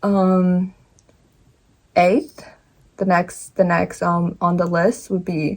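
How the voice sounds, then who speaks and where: The speech moves at a fairly slow pace. The voice is somewhat breathy. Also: woman. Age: 20s. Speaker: lifestyle vlogger. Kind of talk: casual talk to camera. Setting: home, in front of bookshelf. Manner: halting, many fillers and restarts.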